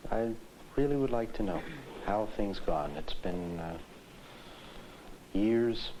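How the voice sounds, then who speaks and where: A man talks at a fairly slow pace, with long, frequent pauses. His fairly low voice has lively intonation. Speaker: psychiatrist. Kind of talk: clinical interview questions.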